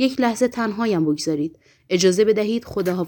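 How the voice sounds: The clip has a natural reading voice. It is heard throughout.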